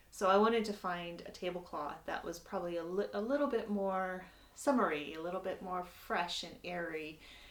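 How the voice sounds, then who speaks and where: A woman with an American accent and a fairly low pitch has an unremarkable speaking voice with ordinary pitch variation. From United States. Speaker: sewing instructor. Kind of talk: tutorial. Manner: casual, with many filler words.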